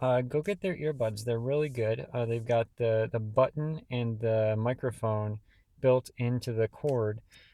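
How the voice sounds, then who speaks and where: A man's dark, mellow tone at a fairly slow pace over a quiet background. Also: medium pitch for a man, ordinary pitch variation. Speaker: comics reviewer, YouTuber. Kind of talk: casual rambling review. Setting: home at night, dark room. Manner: hesitant, many fillers and repeats.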